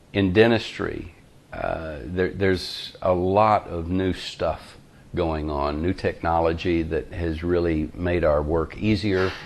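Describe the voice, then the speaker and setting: Here a man speaks with a Southern US accent. His very deep, low voice moves at a very slow pace. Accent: US South. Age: 60s. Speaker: dentist. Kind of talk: casual interview. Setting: his dental office. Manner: hesitant with fillers.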